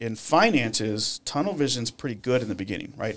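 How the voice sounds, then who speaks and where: A man with a Texan accent talks at a very fast pace. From Texas, Irving; Texas. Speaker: financial coach, former police officer; financial coach. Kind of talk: casual interview. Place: studio. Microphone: studio mic.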